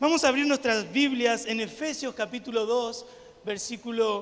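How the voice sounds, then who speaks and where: Noticeable background noise sits behind a man speaking with an Argentine accent. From Argentina. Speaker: missionary preacher. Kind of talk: sermon. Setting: church with congregation. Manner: animated.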